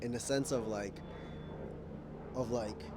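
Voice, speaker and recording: In an American accent, a man speaks at a fairly slow pace with lively intonation and audible room echo. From United States (moved from Kenya at age four). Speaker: vlogger. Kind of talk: personal vlog monologue. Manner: casual, self-correcting.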